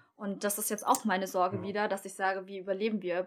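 At a very fast pace, a woman speaks in a medium pitch with monotone, flat intonation on a very clean recording with a silent background. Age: 30s. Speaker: beautician and small business owner. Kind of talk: casual chat.

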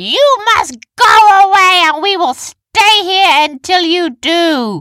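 Shouting loudly in a put-on character voice, a woman speaks slowly at an extremely high pitch with big pitch swings. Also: bright, sharp tone.

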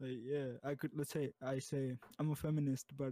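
A man with an American accent speaks at a fairly slow pace and medium pitch, with monotone, flat intonation in a dry, close sound with no echo. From US. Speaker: podcast guest. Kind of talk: casual chat. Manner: halting.

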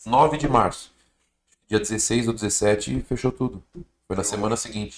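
A man's medium-pitched voice at a moderate pace. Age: 30s. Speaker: clothing brand founder, former footballer. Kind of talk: casual interview chat.

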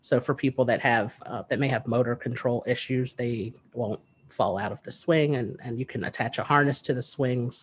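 With an American accent, the somewhat breathy speech keeps a moderate pace, fairly even intonation and hardly any pauses. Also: man, medium pitch for a man. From US, New Jersey. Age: 30s. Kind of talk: interview.

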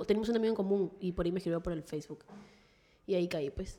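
A woman is speaking. Her intonation is lively. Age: 20s. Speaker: social media influencer. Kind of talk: casual chat.

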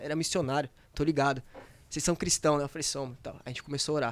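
A man speaks in a flat monotone. The recording is very clean, with a silent background. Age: 20s. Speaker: young church member back from mission trip. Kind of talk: exhortation; casual podcast chat.

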